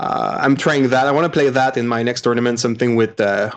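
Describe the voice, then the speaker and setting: Speaking with a French Canadian accent, a man keeps a medium pitch and fairly even intonation. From Quebec, Montreal. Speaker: podcaster, tabletop gamer. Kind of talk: casual chat.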